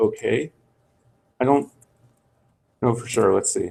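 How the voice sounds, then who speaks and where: The voice belongs to a man and sits fairly high in pitch. His pitch variation is ordinary. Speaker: software instructor. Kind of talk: tutorial. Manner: halting.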